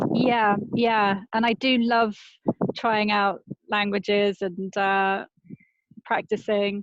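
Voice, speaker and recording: Speaking very slowly with long, frequent pauses, a woman with a British accent keeps a medium pitch, monotone, flat intonation and very even loudness. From Britain. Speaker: travel journalist and author. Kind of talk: casual interview chat.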